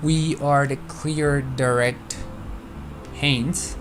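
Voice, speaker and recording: A man with a non-native accent, with audible room echo and noticeable background noise. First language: not English. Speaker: flight sim streamer. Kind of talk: live stream with radio calls. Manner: halting.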